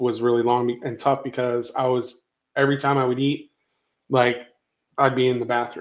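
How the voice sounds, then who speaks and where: Speaking at a moderate pace and a medium pitch, a man has a plain, everyday voice. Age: 50s. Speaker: podcast guest discussing weight loss. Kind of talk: casual chat.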